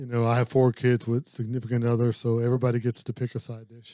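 A quiet man's voice, medium in pitch with a dark, mellow tone, monotone, flat intonation, big swings in loudness and a fairly quick pace, in a very clean recording with a silent background and a dry, close sound with no echo. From Louisiana. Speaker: business coach. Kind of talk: casual interview chat. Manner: quiet, calm.

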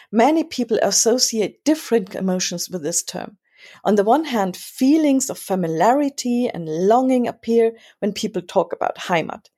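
In a German accent, a woman talks at a moderate pace with fairly high pitch and lively intonation. Her tone is dark and mellow, and the recording is very clean with a silent background. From Germany. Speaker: newspaper editor and podcast co-host. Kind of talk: scripted commentary.

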